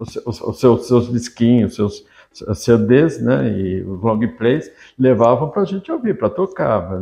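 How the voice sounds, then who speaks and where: With a dark, mellow tone, a man speaks at a very slow pace. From Brazil, São Paulo (São Caetano do Sul). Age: 60s. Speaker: journalist and writer. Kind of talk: interview reminiscence. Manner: halting, many fillers.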